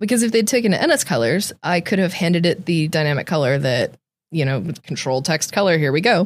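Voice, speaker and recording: A woman speaks at a fairly quick pace with lively intonation and a fairly low pitch, in a Californian accent. The recording is very clean, with a silent background. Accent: Californian American. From California, Central Valley (Tracy). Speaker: software engineer. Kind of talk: casual interview chat. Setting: studio.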